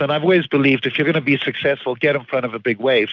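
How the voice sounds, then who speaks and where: A man speaks with a slight Zimbabwean accent. His pitch varies in an ordinary way. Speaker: financial firm founder and CEO. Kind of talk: podcast interview.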